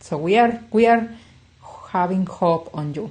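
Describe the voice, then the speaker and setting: A woman speaks with a non-native accent and a dark, mellow tone. Her somewhat breathy voice swings very widely in pitch. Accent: non-native English speaker. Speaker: clinical psychologist. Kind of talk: self-help talk. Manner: conversational, frequent 'yeah?' tags.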